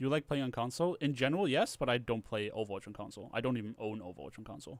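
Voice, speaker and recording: A very fast man's voice at a medium pitch, with big swings in loudness. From Canada. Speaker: YouTuber / streamer. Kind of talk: casual livestream chat while video editing. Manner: casual, rambling.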